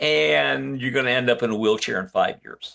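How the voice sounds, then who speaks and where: At a moderate pace, a man speaks with vocal fry and a bright, sharp tone at a medium pitch. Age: 80s+. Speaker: functional medicine doctor. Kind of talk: interview testimony. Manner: halting, many false starts.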